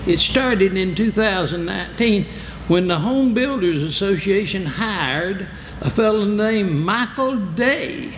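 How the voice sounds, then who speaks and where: Over noticeable background noise and audible room echo, a man with an American accent speaks at a fairly slow pace, high in pitch, with ordinary pitch variation and very even loudness. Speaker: political candidate. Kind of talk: campaign speech. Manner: animated.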